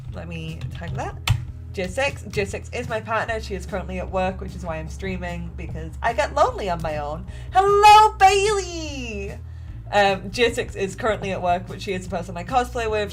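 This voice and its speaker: With an American accent, a woman talks at a fairly quick pace over music in the background, with audible room echo. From England. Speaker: cosplayer streamer. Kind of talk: casual livestream chat while crafting. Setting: live stream at home. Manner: casual, chatty.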